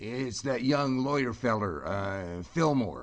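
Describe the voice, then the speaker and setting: Putting on a raspy character voice at a medium pitch, a man speaks at a fairly slow pace with lively intonation. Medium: audio drama. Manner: casual, folksy.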